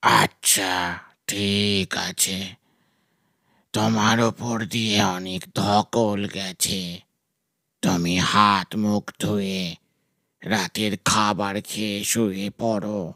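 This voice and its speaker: A man speaks very slowly in a put-on character voice, fairly low-pitched and monotone, with a dry, close sound and no echo. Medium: audio drama. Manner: affectionate, fatherly.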